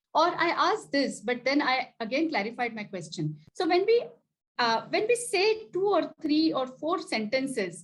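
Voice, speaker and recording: With very wide pitch swings, a woman delivers her words at a fairly slow pace. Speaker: executive coach and chapter president. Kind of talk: lecture. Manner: hesitant, with frequent filler words.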